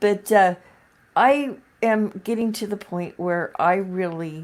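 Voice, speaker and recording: At a very slow pace and with ordinary pitch variation, the speaker comes through on a very clean recording with a silent background. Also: woman. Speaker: video podcast co-host. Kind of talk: casual chat.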